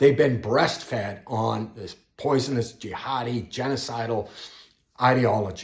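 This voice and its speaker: With ordinary pitch variation, a man talks fairly slowly. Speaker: political commentary YouTuber. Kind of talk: opinion monologue.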